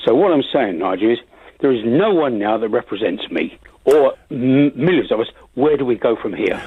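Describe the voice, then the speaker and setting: A man with a London accent talks at a moderate pace, his medium pitch carrying lively intonation. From London, Finsbury Park. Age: 80s+. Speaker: caller. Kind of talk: radio phone-in.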